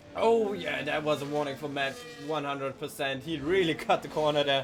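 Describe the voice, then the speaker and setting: Amid noticeable background noise, a fairly high-pitched man with a German accent speaks at a fairly quick pace. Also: ordinary pitch variation. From Germany. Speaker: sim racing commentator. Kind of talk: live commentary. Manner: animated; halting.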